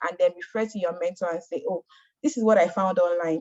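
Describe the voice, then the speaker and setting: This woman's voice is somewhat breathy and sits at a medium pitch. Its pitch varies in an ordinary way. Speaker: mentorship program speaker. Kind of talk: presentation. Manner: fast.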